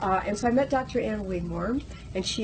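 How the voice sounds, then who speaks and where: Noticeable background noise can be heard, along with audible room echo. The voice is a woman's. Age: 60s. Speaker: raw food advocate. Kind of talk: interview. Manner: animated.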